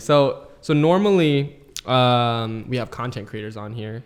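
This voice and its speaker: A man's unremarkable speaking voice at medium pitch, a fairly slow pace and big swings in loudness. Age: 20s. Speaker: podcast host. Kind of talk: casual interview.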